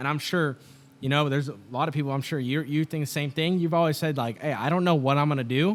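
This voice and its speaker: A man talks very fast in a fairly high pitch, his loudness very even and his intonation fairly even. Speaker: podcast co-host. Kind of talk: casual chat.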